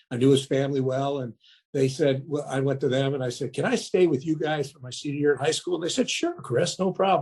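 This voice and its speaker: Somewhat breathy and dark, mellow in tone, a man's voice sits at a fairly high pitch. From US, moved around (Detroit, Maryland, Montana). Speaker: restaurant entrepreneur. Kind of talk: interview. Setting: podcast.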